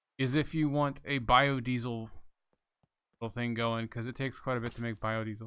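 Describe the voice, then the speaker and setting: A man mumbles softly at a very fast pace. The background stays quiet. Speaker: gaming video creator. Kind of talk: gameplay commentary. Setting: home recording desk. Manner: soft-spoken; mumbling.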